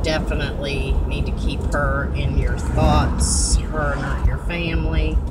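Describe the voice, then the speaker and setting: With music in the background, a woman speaks at a fairly slow pace. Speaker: vlogger. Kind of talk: casual vlog chat. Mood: warm, chatty. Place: car. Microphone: phone near.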